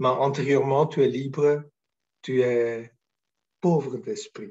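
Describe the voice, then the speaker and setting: This man has a fairly high pitch with ordinary pitch variation. He speaks at a very slow pace. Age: 60s. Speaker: spiritual teacher. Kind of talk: spiritual talk. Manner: halting, many hesitations.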